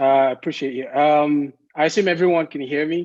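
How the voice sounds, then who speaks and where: With an unremarkable speaking voice, a man talks at a moderate pace, his fairly high pitch carried by fairly even intonation. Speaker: statistics professor. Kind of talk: presentation talk.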